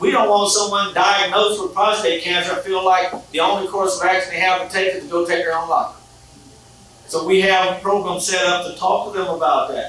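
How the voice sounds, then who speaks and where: Fairly quick, monotone delivery with flat intonation, audible room echo and noticeable background noise. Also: man, high pitch for a man. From North Carolina, US South. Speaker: health advocate, prostate cancer survivor. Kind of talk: gala speech.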